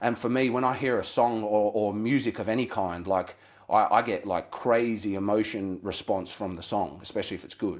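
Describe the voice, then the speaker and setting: Recorded very cleanly against a silent background, a man with an Australian accent speaks with fairly even intonation. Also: moderate pace. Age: 30s. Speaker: rapper. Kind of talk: casual chat.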